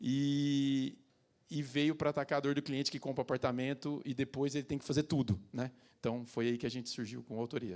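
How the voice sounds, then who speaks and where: A man's normal speaking voice at a fairly high pitch, fairly quick in pace, with fairly even intonation. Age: 30s. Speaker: construction company CEO. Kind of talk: panel talk. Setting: stage with audience.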